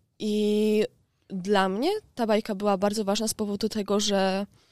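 A woman's monotone, flat voice, very cleanly recorded against a silent background, dry and close with no echo. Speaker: university student. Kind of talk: class presentation.

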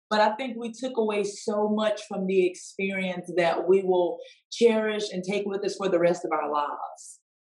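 A woman's medium-pitched voice in a Mississippi accent, with fairly even intonation. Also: moderate pace. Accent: Southern US (Mississippi). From US South, Poplarville, Mississippi. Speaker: country singer. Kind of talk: casual interview.

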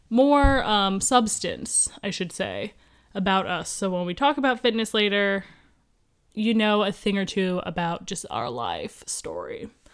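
On a very clean recording with a silent background, a woman speaks in an ordinary speaking voice at a fairly slow pace, medium pitch and ordinary pitch variation. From US Midwest (Columbus, Ohio). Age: 20s. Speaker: podcast co-host, personal trainer. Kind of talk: casual chat.

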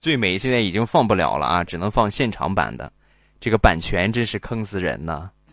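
Against a quiet background, a man speaks with vocal fry at a fairly low pitch. His tone is animated. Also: lively intonation, fairly quick pace. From Rizhao, Shandong, China. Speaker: livestream host. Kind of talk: casual livestream chat with call-ins. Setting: live stream on phone.

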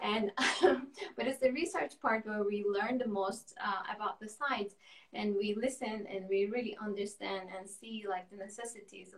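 A woman with a medium-pitched voice speaks at a moderate pace with ordinary pitch variation and big swings in loudness, over noticeable background noise. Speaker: architect, studio cofounder. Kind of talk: interview. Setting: video call.

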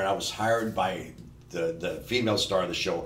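Moderate pace and fairly low pitch from a man, with noticeable background noise. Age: 60s. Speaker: stunt coordinator and producer. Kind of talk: casual chat.

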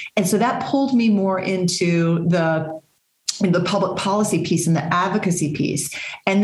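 At a moderate pace, a woman with an American accent speaks at a medium pitch. Room echo is audible. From Texas. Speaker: nonprofit CEO and social worker. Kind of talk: interview. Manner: hesitant with many fillers.

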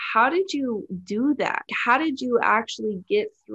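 In a normal speaking voice, a woman with an American accent talks at a fairly slow pace with ordinary pitch variation. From California. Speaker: podcast host. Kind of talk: interview.

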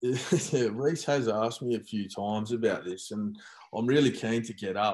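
Against a quiet background, a man speaks with an Australian accent. He keeps a moderate pace and ordinary pitch variation. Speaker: former footballer. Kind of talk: casual chat.

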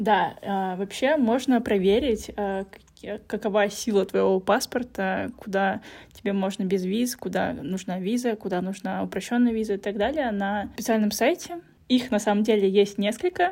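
A woman has an unremarkable speaking voice, medium pitch, and ordinary pitch variation. She talks at a moderate pace in a very clean recording with a silent background. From Russia. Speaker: podcast host. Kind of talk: casual chat.

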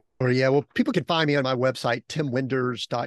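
A man's ordinary speaking voice at a medium pitch, with fairly even intonation, on a very clean recording with a silent background and a dry, close sound with no echo. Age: 50s. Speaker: author and strategic coach. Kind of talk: casual interview chat.

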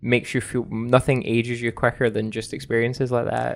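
A man with a Scottish accent speaks at a fairly quick pace in a medium pitch, his intonation monotone and flat, over a quiet background. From Scotland. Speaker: video game reviewer. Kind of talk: casual chat.

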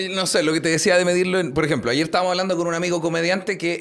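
Over noticeable background noise, a man talks very fast in a high voice with a Chilean accent. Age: 20s. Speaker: podcast host. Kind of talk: casual chat.

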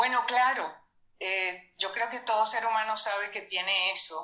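A woman with an ordinary speaking voice, medium pitch, ordinary pitch variation and a fairly slow pace. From Venezuela. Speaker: numerology coach. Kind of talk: interview.

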